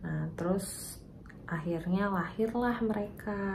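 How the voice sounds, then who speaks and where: A soft-spoken woman at a medium pitch, with audible room echo and noticeable background noise. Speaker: vlogger and mother of twins. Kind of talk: personal story vlog. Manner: soft-spoken, quiet; casual, chatty.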